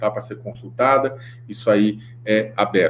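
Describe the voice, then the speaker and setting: Somewhat breathy, a man's voice rests at a medium pitch. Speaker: panelist on anti-slavery finance. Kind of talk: webinar talk. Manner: fast.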